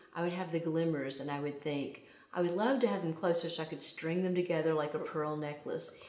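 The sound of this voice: Set in strong room echo, a woman's low-pitched voice with a slightly mellow tone moves at a fairly quick pace with ordinary pitch variation.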